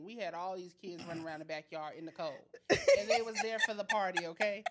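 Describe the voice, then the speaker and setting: Against noticeable background noise, a woman speaks at a very fast pace. Her pitch is medium, with ordinary pitch variation. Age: 30s. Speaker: podcast co-host. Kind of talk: casual chat.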